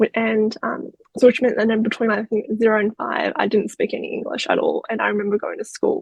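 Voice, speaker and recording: A woman with an Australian accent, talking at a fairly quick pace. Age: 30s. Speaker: crime survivor. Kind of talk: interview.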